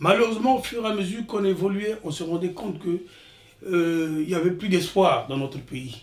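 A man speaks at a moderate pace in a fairly high voice. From Republic of the Congo (Brazzaville), village. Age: 60s. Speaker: retired IT worker, immigrant father. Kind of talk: life story interview. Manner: halting, repeats words.

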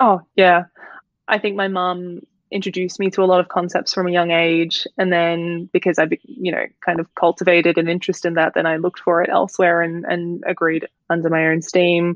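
The delivery is monotone and flat, at a fairly quick pace. The speaker has an Australian accent. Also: woman, fairly low pitch for a woman. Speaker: fashion brand founder and student. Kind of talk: casual interview chat.

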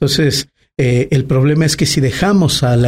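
A man's fairly high, somewhat breathy voice carries a dark, mellow tone. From Mexico, Aguascalientes. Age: 30s. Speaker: politician. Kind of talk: interview. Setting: restaurant.

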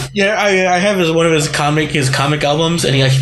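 A man talks at a very fast pace with ordinary pitch variation. Noticeable background noise is present. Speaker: podcast host. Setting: studio.

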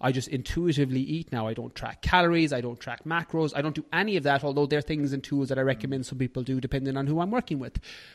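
Very fast speech with an Irish accent, ordinary pitch variation and a quiet background. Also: man. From Ireland. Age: 30s. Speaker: fitness and nutrition coach. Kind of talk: casual interview chat.

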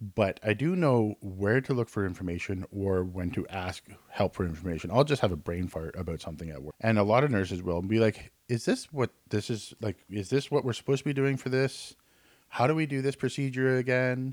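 Captured in a very clean, dry, close recording with a silent background and no echo, a man with a fairly low pitch and a plain, everyday voice talks at a fairly quick pace with lively intonation. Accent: Canadian. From Canada. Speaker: nurse and nursing instructor. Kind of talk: casual chat.

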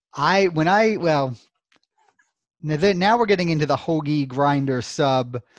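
With an American accent, a man speaks at a fairly slow pace with long, frequent pauses, a fairly high pitch, ordinary pitch variation and very even loudness. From Brooklyn, New York; partly Louisville, Kentucky. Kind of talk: casual interview. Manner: hesitant, many fillers.

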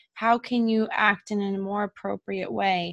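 A woman of medium pitch speaks at a fairly slow pace in a monotone, flat intonation, with a dry, close sound and no echo. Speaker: podcast host. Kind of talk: casual interview chat.

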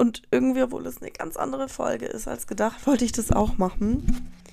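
Using vocal fry, a woman with a fairly high pitch speaks at a moderate pace. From Colombia, moved to Germany as a child. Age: 20s. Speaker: podcast host. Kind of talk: casual monologue. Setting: recorded late at night. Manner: animated.

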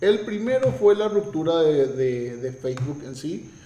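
A man talks at a fairly slow pace with ordinary pitch variation amid audible room echo and noticeable background noise. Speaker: tech commentator. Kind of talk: opinion commentary.

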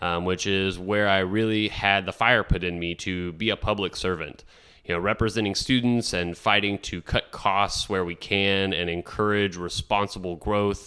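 Bright and sharp in tone, a man with an American accent talks at a moderate pace with hardly any pauses, fairly low pitch and fairly even intonation, on a very clean recording with a silent background. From Texas, Rio Grande Valley. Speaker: city council candidate. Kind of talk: radio interview.

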